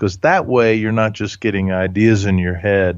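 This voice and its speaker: With a normal speaking voice, a man talks at a fairly low pitch, his pitch varying in an ordinary way against a quiet background. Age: 60s. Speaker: leadership author and speaker. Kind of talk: interview.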